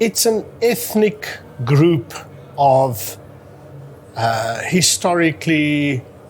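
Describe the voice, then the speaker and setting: A fairly high-pitched man with a South African accent, over noticeable background noise. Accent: Afrikaans South African English. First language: Afrikaans. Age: 50s. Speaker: amateur historian. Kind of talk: interview.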